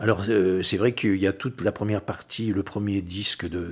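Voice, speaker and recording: Captured in a very clean recording with a silent background, a fairly low-pitched man talks at a fairly slow pace with fairly even intonation. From western France, Oléron island. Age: 60s. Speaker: record collector and musician. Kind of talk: casual interview. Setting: recorded in his home. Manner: hesitant, many fillers.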